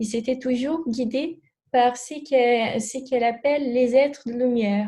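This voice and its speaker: A dark, mellow tone with a Brazilian accent, fairly even intonation and a fairly slow pace. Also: woman, high pitch for a woman. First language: Portuguese (speaking French). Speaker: alternative therapist. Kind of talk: interview. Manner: halting, many hesitations.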